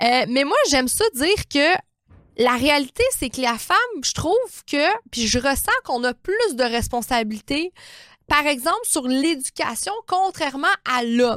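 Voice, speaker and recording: Speaking in a Quebec accent at a fairly slow pace, a woman with a high pitch and an animated tone makes very wide pitch swings, recorded with a dry, close sound with no echo. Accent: Québécois French. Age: 30s. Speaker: naturopath and life coach podcaster. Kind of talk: motivational monologue.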